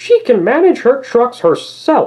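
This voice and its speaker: A high-pitched, put-on character voice. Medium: read story. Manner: grumbling, fussy.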